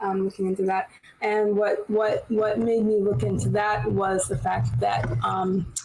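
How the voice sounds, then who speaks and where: A woman talks at a fairly slow pace. There is music in the background. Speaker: panel moderator. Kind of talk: panel discussion. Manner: halting, many fillers.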